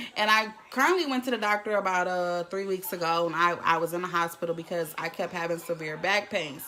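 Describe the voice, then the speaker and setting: A woman talking with hardly any pauses over noticeable background noise. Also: fairly low pitch for a woman, ordinary pitch variation. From US South, Jackson, Mississippi. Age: 20s. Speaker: vlogger. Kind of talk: live stream chat. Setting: at home.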